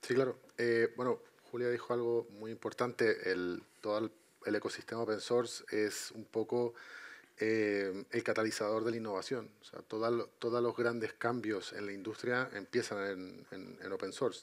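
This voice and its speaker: A man's medium-pitched voice, monotone and flat, with a Chilean accent. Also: moderate pace. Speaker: IT consultant and entrepreneur; panelist. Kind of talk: panel discussion. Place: stage.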